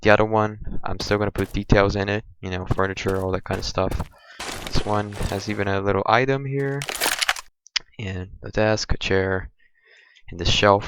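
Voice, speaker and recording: A man speaks with a Brazilian accent at a fairly low pitch. His pace is moderate and his pitch variation ordinary. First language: Portuguese. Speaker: gaming youtuber. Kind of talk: gameplay tutorial walkthrough. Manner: hesitant, many fillers.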